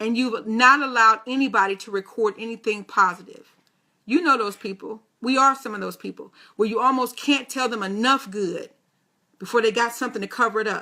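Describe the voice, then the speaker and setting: Bright, sharp and animated, a woman's fairly high voice moves at a fairly quick pace with big swings in loudness. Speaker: motivational radio host. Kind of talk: motivational talk.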